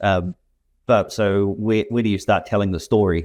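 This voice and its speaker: A man with a New Zealand accent, fairly low pitch, fairly even intonation, a moderate pace and a quiet background. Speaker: software company representative. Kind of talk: interview conversation. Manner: halting, many repetitions.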